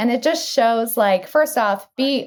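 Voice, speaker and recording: In a General American accent, a woman with a high pitch and a bubbly tone speaks at a moderate pace, the sound dry and close with no echo. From Arizona. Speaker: actress, comedian and voice-over artist. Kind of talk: interview answer. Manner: bubbly, genuine.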